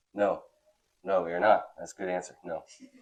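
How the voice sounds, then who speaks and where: A man's fairly quick delivery with very wide pitch swings and vocal fry. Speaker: youth Bible teacher. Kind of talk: Bible class lecture. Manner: conversational, checks in with questions.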